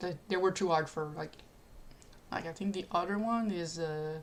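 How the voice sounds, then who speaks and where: Her voice is fairly low in pitch, with a non-native accent. This woman keeps a moderate pace and ordinary pitch variation. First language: not English. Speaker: streamer. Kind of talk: live stream chat. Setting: live stream. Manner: halting.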